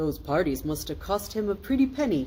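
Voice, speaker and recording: A put-on character voice at middle pitch moves at a fairly quick pace over clear background noise. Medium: read story. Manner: jolly, warm.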